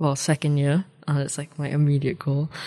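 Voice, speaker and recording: In a New Zealand accent, a woman speaks with a very deep, low pitch and a dark, mellow tone against a quiet background. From New Zealand (Dunedin), born in Malaysia. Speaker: law student. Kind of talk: radio interview.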